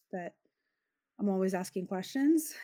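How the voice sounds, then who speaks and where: Here is a woman with an American accent. Her tone is dark and mellow. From US West Coast, Los Angeles. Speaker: filmmaker. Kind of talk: interview. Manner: halting, many fillers.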